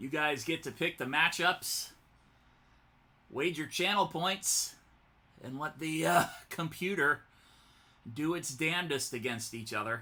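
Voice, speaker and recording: This man's fairly high voice has a bright, sharp tone and ordinary pitch variation. He speaks at a fairly slow pace with long, frequent pauses on a very clean recording with a silent background. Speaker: video game streamer. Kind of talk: live commentary. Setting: live stream.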